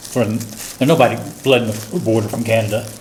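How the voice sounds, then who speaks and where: A man speaks at a medium pitch and moderate pace with ordinary pitch variation, amid noticeable background noise and audible room echo. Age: 60s. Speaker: forum participant. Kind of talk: group discussion. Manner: halting.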